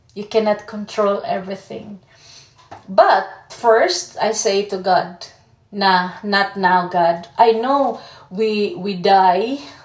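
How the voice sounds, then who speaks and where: Through noticeable background noise, a woman with a Filipino accent talks at a very slow pace with medium pitch and ordinary pitch variation. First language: Tagalog. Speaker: vlogger. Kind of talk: personal vlog testimony. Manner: halting.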